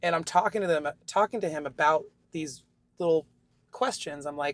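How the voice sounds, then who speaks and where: A woman with an American accent speaks at a moderate pace with a very deep, low pitch, an animated tone and ordinary pitch variation. The sound is dry and close with no echo. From Austin, Texas. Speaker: guitarist and singer. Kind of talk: interview answer. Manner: candid, animated.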